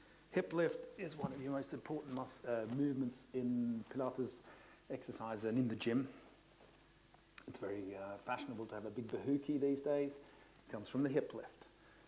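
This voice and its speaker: A man at a moderate pace with ordinary pitch variation and big swings in loudness, in audible room echo. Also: medium pitch for a man. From Australia. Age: 50s. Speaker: Pilates instructor. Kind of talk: conference presentation. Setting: conference hall with audience.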